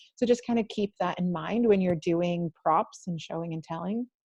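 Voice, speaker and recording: A somewhat breathy, dark, mellow tone in a dry, close sound with no echo. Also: woman. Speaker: online training presenter. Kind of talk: webinar presentation. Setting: video call. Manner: fast.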